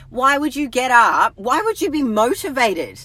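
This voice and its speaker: A woman with an Australian accent, high-pitched and animated, her tone bright and sharp, at a moderate pace. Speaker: health and fitness coach. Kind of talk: live stream talk. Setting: in a car.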